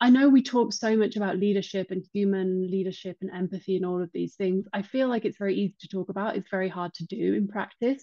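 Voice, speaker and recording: Over a quiet background, a woman talks at a fairly quick pace with a medium pitch and ordinary pitch variation. Her tone is dark and mellow, and the sound is dry and close with no echo. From English Midlands. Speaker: writer, interview guest. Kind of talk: casual chat.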